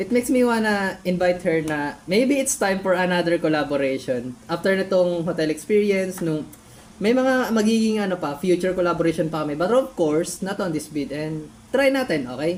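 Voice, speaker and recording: At a fairly quick pace and fairly low pitch, a woman uses lively intonation amid noticeable background noise. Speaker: YouTuber reacting to own old videos. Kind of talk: casual reaction commentary. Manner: animated.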